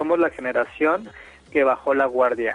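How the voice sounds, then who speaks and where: A man with a plain, everyday voice, ordinary pitch variation and a moderate pace. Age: 30s. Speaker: radio host. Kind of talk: casual chat.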